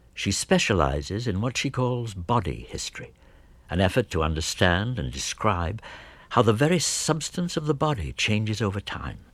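In a very clean recording with a silent background, a man with a fairly low pitch and vocal fry makes very wide pitch swings. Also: moderate pace. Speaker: radio host. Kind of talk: scripted narration.

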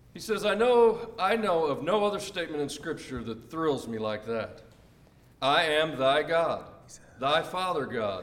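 There is noticeable background noise as a man talks at a fairly slow pace. His pitch is high and swings very widely. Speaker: congregation member reading aloud. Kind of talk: reading aloud.

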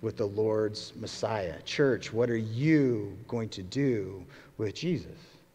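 A man's fairly low-pitched voice with a dark, mellow tone, a very slow pace, ordinary pitch variation and audible room echo. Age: 40s. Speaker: pastor. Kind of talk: sermon.

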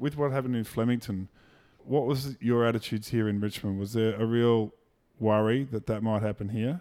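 Against a very clean recording with a silent background, a man with an Australian accent speaks fairly quickly at medium pitch, his tone dark and mellow and his intonation fairly even. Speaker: podcast host. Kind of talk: interview.

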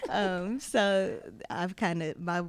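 Using a normal speaking voice, a woman talks at a fairly low pitch with ordinary pitch variation. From Denver, Colorado. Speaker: nursing student and camp volunteer. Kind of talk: interview.

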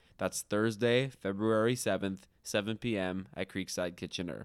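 A man speaks with a Canadian accent in a plain, everyday voice at medium pitch with ordinary pitch variation, on a very clean recording with a silent background. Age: 20s. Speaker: podcast co-host, designer. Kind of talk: casual chat.

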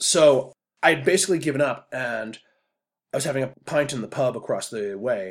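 The man has an unremarkable speaking voice and a moderate pace. His recording is very clean, with a silent background. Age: 40s. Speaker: podcast host. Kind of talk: casual monologue.

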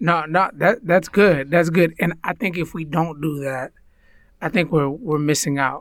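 A man with ordinary pitch variation, in a very clean recording with a silent background. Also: fairly high pitch for a man, fairly slow pace. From United States. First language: Spanish. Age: 30s. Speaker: podcast co-host and minister. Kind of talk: casual chat.

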